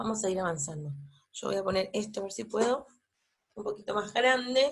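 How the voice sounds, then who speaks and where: This woman's voice comes across as somewhat breathy. Her intonation rises and falls in a lively way. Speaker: university lecturer. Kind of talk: lecture. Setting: pre-recorded online class at home. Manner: hesitant, many fillers.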